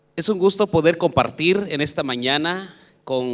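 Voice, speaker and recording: A man with a fairly high pitch speaks very slowly, his pitch varying in an ordinary way. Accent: Guatemalan. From Guatemala. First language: K'iche' (speaking Spanish). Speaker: education official. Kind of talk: conference talk.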